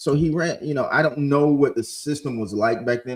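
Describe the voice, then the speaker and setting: At a moderate pace, a man with an American accent speaks in an animated tone. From Ohio, US Midwest. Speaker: podcast host. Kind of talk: casual storytelling monologue.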